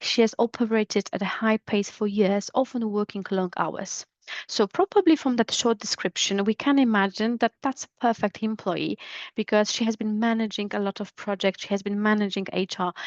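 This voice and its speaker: A woman with a Polish accent speaks at a moderate pace with fairly even intonation, recorded dry and close with no echo against a quiet background. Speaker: business English trainer. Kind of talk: educational podcast monologue. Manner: hesitant, with fillers.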